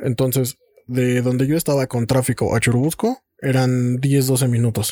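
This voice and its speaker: In a dark, mellow tone, a man speaks at a moderate pace and medium pitch with monotone, flat intonation and very even loudness, the sound dry and close with no echo. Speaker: podcast host. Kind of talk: casual chat.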